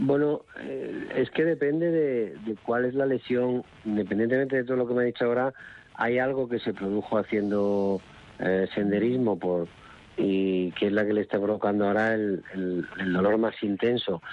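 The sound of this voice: A man talks at a moderate pace. His pitch is fairly low and his intonation fairly even.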